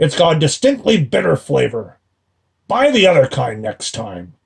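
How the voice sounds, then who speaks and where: In a raspy, put-on character voice, a man talks at a moderate pace with a fairly high pitch and very wide pitch swings. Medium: read story. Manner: grumbling, complaining.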